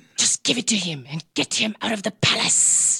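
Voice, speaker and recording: This is a put-on character voice, raspy and hissing. It sits at a fairly high pitch and moves at a moderate pace. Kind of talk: imperious. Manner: hissing, curt.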